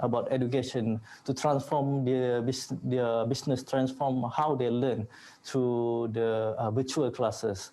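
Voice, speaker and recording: A man's dark, mellow tone at a fairly slow pace. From Malaysia, Klang, Selangor. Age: 20s. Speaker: entrepreneur. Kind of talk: online panel interview. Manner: hesitant, many fillers.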